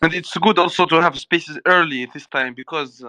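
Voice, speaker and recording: With a Mauritanian accent, a man speaks at a fairly high pitch and a moderate pace with ordinary pitch variation. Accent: Mauritanian accent similar to Moroccan. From Mauritania, North Africa. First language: not English. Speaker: crypto community member. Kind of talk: casual chat.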